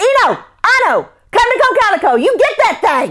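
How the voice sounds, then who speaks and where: Extremely high-pitched put-on character voice from a woman, delivered at a moderate pace. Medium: read story. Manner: folksy, plain-spoken dialect.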